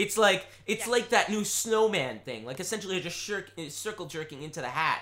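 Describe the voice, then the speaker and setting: With a raised, projected voice, a man speaks at a high pitch and moderate pace, his intonation lively and hardly any pauses. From Rhode Island. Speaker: podcast co-host. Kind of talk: casual chat.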